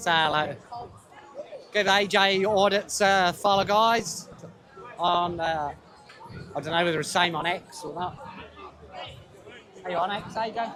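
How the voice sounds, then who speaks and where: Shouting with a raised, projected voice and an English accent, the speaker leaves long, frequent pauses amid crowd noise and audible room echo. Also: man, high pitch for a man, fairly even intonation, fairly slow pace. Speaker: livestreamer at a street protest. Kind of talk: live walkaround commentary. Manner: loud, shouting over noise.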